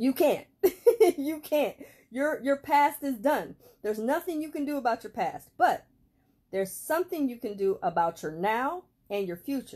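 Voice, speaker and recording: Against a quiet background, a woman with a high pitch speaks at a moderate pace, her pitch swinging very widely. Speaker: self-improvement vlogger. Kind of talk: casual vlog chat. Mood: warm, motivational. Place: home room. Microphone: phone near.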